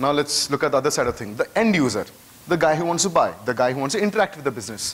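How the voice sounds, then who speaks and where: A man's very fast, lively speech in an Indian accent, fairly high in pitch, against noticeable background noise. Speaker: conference speaker. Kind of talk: conference talk. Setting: stage with audience.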